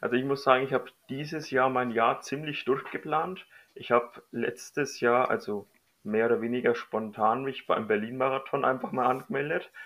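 A man with medium pitch and ordinary pitch variation speaks at a moderate pace in an unremarkable speaking voice. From Middle Franconia, Bavaria. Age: 30s. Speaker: amateur runner. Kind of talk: casual interview.

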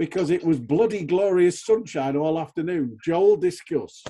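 Dark and mellow in tone yet high in pitch, a man talks at a moderate pace with lively intonation. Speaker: podcast host. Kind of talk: casual chat.

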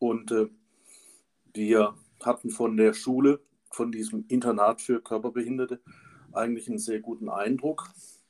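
With a dry, close sound and no echo, a man talks in a monotone, flat delivery broken by long, frequent pauses. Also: medium pitch for a man, moderate pace. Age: 50s. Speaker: pathologist and parent advocate. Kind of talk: interview.

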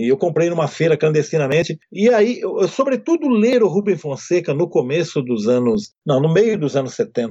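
At a moderate pace, a man with a high pitch barely pauses, keeping his loudness very even. His pitch swings very widely. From Brazil, interior of São Paulo state. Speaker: writer and screenwriter. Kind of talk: interview.

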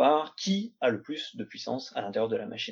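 Over a quiet background, a man speaks at a moderate pace with lively intonation. He has a plain, everyday voice. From France. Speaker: doctoral student. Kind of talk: academic discussion. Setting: video call.

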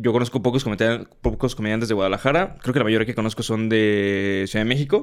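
A man speaks with a Mexican accent at a medium pitch. His pace is fairly quick. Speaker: stand-up comedian. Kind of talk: casual chat.

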